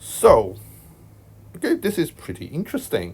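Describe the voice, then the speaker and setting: A man with a Hong Kong accent speaks at a fairly slow pace. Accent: Hong Kong accent, noticeable. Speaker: math tutor. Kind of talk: tutorial. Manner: casual, hesitant with fillers.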